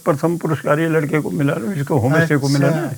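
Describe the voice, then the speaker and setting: Noticeable background noise surrounds a man speaking in a fairly high pitch. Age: 80s+. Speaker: farmer. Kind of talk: interview answer, giving a house tour. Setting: outdoors, rural village homestead.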